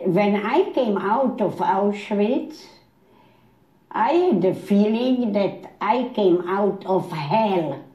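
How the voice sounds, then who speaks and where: Very slowly and somewhat breathily, a woman speaks in a dark, mellow tone with lively intonation and very even loudness. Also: medium pitch for a woman. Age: 80s+. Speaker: Holocaust survivor. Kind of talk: interview answer.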